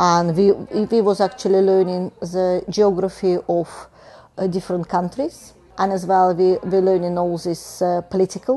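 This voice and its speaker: A woman speaks at a medium pitch and a moderate pace with a monotone, flat intonation. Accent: Russian. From Russia, Moscow. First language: Russian. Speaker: engineer. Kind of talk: oral history interview. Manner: halting.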